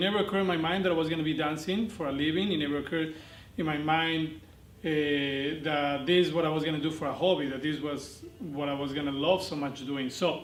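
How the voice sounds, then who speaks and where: A man with a Spanish accent, fairly high pitched with ordinary pitch variation, amid audible room echo. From Argentina. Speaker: dance instructor. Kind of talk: interview monologue. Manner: hesitant, many fillers.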